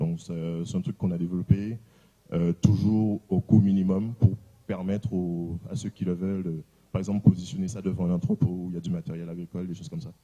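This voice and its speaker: This man talks at a fairly quick pace in a very deep, low pitch with ordinary pitch variation, a dark, mellow tone and big swings in loudness over a quiet background. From Guadeloupe. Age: 30s. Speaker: tech company founder. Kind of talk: conference presentation. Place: hall. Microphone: handheld.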